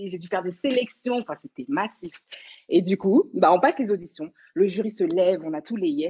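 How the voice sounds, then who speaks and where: At medium pitch, a woman speaks in a dark, mellow tone with lively intonation and big swings in loudness. Her moderate pace comes through dry and close, without echo. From Paris region, France. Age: young. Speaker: dancer. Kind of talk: casual chat.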